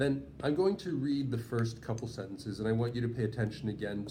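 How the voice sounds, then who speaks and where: There is audible room echo as a man with a medium-pitched voice speaks with lively intonation. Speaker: writing tutor. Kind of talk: lesson. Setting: in person with two students.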